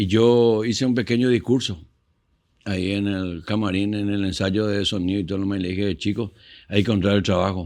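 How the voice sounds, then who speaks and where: Here a man speaks with fairly even intonation. His pitch sits fairly low. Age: 60s. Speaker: musician and show host. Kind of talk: casual interview chat.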